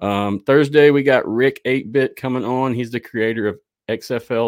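A man with an ordinary speaking voice, medium pitch, moderate pace and fairly even intonation. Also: very clean recording, silent background. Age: 30s. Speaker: podcast host. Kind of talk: casual chat.

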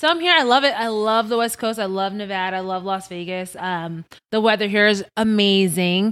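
In an ordinary speaking voice with an American accent, a woman talks at a fairly quick pace and medium pitch with ordinary pitch variation, on a very clean recording with a silent background. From Long Island, New York. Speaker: liqueur brand market manager. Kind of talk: casual chat. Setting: studio.

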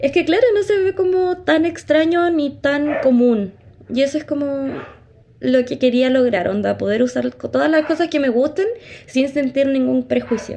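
Over noticeable background noise, a woman with a high pitch speaks at a fairly slow pace with lively intonation. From Chile. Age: 20s. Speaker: podcast co-host, psychology student. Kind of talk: casual chat. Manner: animated.

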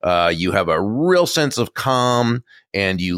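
Lively intonation carries an American accent in a dry, close recording with no echo, very clean, against a silent background. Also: man. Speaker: author and speaker on influence. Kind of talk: interview. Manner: clear.

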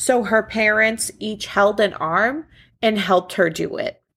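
At a fairly slow pace, a woman in a normal speaking voice talks at a fairly high pitch with ordinary pitch variation, captured in a very clean recording with a silent background. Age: 20s. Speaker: podcast host. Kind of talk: casual storytelling chat. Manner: casual, laughing, conversational.

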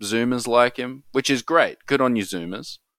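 Recorded very cleanly against a silent background, with a dry, close sound and no echo, a man speaks at a medium pitch in an Australian accent. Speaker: film podcast co-host. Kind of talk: casual chat.

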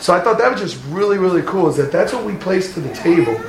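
Noticeable background noise fills the recording. Over it, a man talks at a very fast pace. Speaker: congregation member sharing. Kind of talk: casual testimony. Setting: church.

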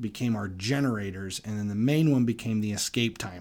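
A man has an unremarkable speaking voice, fairly low in pitch. He talks at a moderate pace with ordinary pitch variation. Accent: American. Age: 40s. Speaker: podcast host. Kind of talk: casual monologue.

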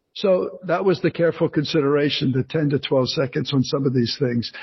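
This man has a fairly high pitch and an American accent, with ordinary pitch variation. His pace is fairly quick, and his voice is somewhat breathy. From New Jersey. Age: 60s. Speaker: author and retired actor. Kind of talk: interview. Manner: halting, many fillers.

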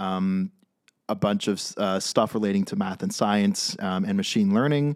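The recording is very clean, with a silent background. A man with a fairly low voice and a Californian accent speaks at a fairly slow pace with fairly even intonation. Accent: Californian American. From California (San Francisco). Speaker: startup cofounder, technologist. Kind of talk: casual chat. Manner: joking, hesitant with many fillers.

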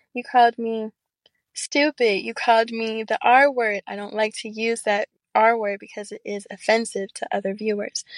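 A woman talks in a normal speaking voice at a fairly high pitch and a moderate pace, with ordinary pitch variation. Her loudness swings widely, and the sound is dry and close with no echo. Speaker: actress and model. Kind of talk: casual interview chat.

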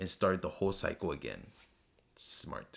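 The recording is very clean with a silent background. A man talks at a moderate pace in an animated tone. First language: not English. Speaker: podcast host. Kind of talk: solo TV episode review monologue.

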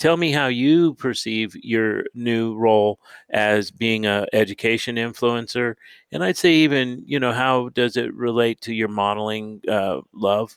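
In an ordinary speaking voice, a man with an American accent talks at a fairly slow pace and medium pitch with ordinary pitch variation, on a very clean recording with a silent background and a dry, close sound with no echo. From California. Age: 60s. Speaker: podcast host. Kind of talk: interview; scripted statement.

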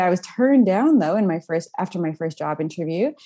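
This woman has an unremarkable speaking voice with lively intonation. She talks at a medium pitch and a fairly quick pace. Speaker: mental health nonprofit executive. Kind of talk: casual interview chat. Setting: video call.

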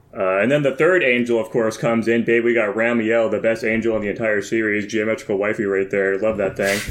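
Over noticeable background noise, a man with a medium pitch talks at a fairly quick pace with hardly any pauses, very even loudness and fairly even intonation. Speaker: co-host.

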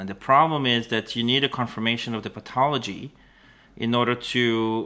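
In an Israeli accent, a man talks at a moderate pace with a medium pitch and a bright, sharp tone. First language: Hebrew. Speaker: biotech startup founder and CEO. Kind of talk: interview. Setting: video call. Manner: halting, many fillers.

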